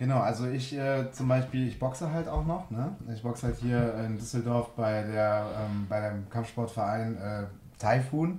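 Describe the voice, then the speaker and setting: Somewhat breathy, the voice moves at a fairly slow pace with ordinary pitch variation and audible room echo. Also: man, medium pitch for a man. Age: 30s. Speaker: vocational student. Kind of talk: radio interview. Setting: radio studio.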